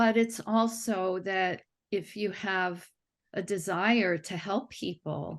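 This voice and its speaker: A woman's medium-pitched voice at a very slow pace, with fairly even intonation against a quiet background. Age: 60s. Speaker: cellist and music teacher giving a testimonial. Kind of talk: testimonial interview. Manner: halting, with many fillers and restarts.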